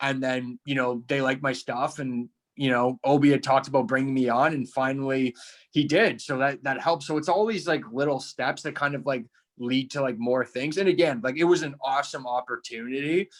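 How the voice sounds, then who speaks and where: A man with a plain, everyday voice and a Canadian accent, at medium pitch with ordinary pitch variation and a fairly quick pace, on a very clean recording with a silent background. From small-town Canada. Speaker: stand-up comedian. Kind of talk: casual interview chat.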